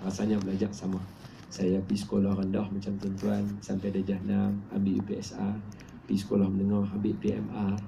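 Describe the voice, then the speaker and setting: In a room with audible echo, a man talks at a fairly quick pace with a dark, mellow tone, fairly low pitch and vocal fry. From Malaysia, Penang. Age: 30s. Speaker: Islamic preacher and author. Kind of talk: book talk to an audience. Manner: casual, conversational.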